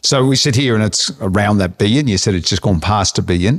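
A man talks in a normal speaking voice with lively intonation, the sound dry and close with no echo on a very clean recording with a silent background. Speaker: interviewer, finance podcast host. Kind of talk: interview.

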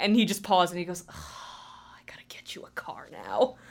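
Someone with an American accent talks at a moderate pace. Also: woman. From New Jersey. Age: 20s. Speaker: new staff member at community TV station. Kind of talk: casual interview. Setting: studio. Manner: loud.

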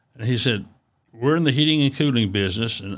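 In an East Tennessee accent, a man talks at a medium pitch with ordinary pitch variation. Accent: Southern US (East Tennessee). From Chattanooga, Tennessee. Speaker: retired engineering executive. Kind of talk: interview.

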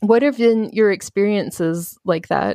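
With an American accent, a woman talks in an ordinary speaking voice at medium pitch with ordinary pitch variation, the sound dry and close with no echo. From Baltimore, US. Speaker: podcast host. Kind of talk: interview; scripted podcast intro.

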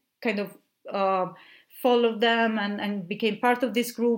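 In an Italian accent, a woman with a fairly high pitch talks at a moderate pace with fairly even intonation. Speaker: literary translator. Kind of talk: casual interview conversation. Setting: remote call, recorded separately. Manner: halting, many fillers.

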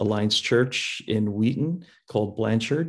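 Spoken at a fairly slow pace with an American accent, this is an ordinary speaking voice. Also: man. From Chicago, US Midwest. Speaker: youth pastor. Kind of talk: casual interview. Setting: video call.

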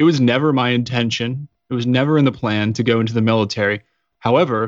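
A man talks at a fairly quick pace in a plain, everyday voice of medium pitch. The background is quiet. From Colorado. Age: 30s. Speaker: Navy veteran and podcaster. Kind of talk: interview.

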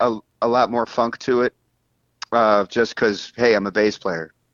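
This is a man with a normal speaking voice. He talks at a moderate pace and a medium pitch. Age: 50s. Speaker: bass player and bandleader. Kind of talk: casual interview.

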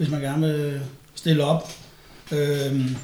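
A man speaks with audible room echo. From Danish provinces. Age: 40s. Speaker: former bodybuilder and steroid user. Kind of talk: casual chat.

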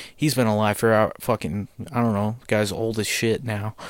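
A man with a plain, everyday voice, medium in pitch, at a moderate pace, in a very clean recording with a silent background. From United States. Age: 20s. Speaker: podcast host. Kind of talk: casual monologue. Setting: home basement.

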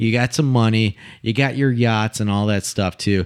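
In a very clean recording with a silent background and a dry, close sound with no echo, a man has a plain, everyday voice at a medium pitch, with ordinary pitch variation and a moderate pace. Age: 30s. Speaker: podcast co-host. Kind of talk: casual chat.

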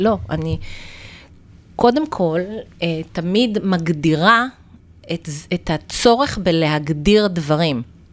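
A woman's fairly low voice with lively intonation, a very slow pace and long, frequent pauses, on a very clean recording with a silent background. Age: 50s. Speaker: naturopath. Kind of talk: interview.

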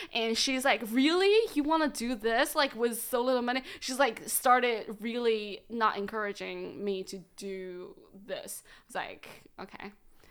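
On a very clean recording with a silent background, a woman with a Chinese accent speaks at a high pitch and a fairly slow pace, her intonation lively and her loudness swinging widely. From China, Shandong province. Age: 30s. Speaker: comedian. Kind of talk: casual chat. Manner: frequent fillers, says um a lot.

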